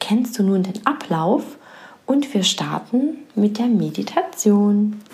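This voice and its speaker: A woman's fairly high voice, very slow and gentle with a soothing tone and ordinary pitch variation, over noticeable background noise. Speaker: podcast host and coach. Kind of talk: guided meditation. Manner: slow, soothing, calm, soft-spoken; gentle, pausing, hushed.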